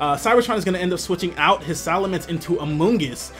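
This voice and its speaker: A man speaks very quickly with ordinary pitch variation while music plays behind him. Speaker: aspiring Pokemon event commentator. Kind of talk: live battle commentary. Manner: excited, enthusiastic.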